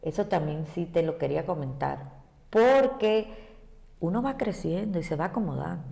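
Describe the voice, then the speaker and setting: A woman with an ordinary speaking voice, fairly low in pitch, at a fairly slow pace with lively intonation. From Cuba. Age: 60s. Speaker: ballet teacher. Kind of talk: interview.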